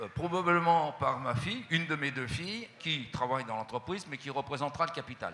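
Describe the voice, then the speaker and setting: This man speaks at a moderate pace with a bright, sharp tone. His pitch varies in an ordinary way. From France, Haute-Savoie. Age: 70s. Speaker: company CEO. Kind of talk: interview. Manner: hesitant.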